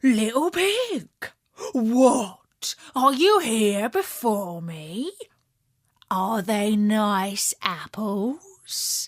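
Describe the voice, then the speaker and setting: A woman uses a put-on character voice, fairly high in pitch, and talks at a very slow pace. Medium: read story. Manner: sly, threatening.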